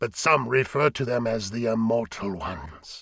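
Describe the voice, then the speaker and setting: A raspy, put-on character voice moves at a moderate pace. The recording is very clean, with a silent background. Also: man, medium pitch for a man. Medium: read story. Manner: grave, formal.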